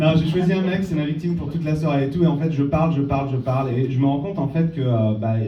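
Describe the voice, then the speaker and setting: Over noticeable background noise and audible room echo, the speaker goes at a very fast pace in an animated tone with ordinary pitch variation. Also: man. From France, Valence. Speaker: magician. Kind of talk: stand-up. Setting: stage with audience. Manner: halting.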